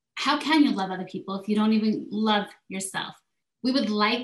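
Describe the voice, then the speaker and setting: Somewhat breathy speech at a moderate pace, with ordinary pitch variation. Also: woman. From South Korea. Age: 40s. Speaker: life and health coach. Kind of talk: interview.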